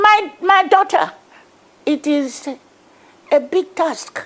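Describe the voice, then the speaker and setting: Against noticeable background noise, a woman with a Nigerian accent speaks at a very slow pace in an extremely high pitch. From Nigeria, Niger Delta. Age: 80s+. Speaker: activist. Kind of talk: TV news interview. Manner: halting.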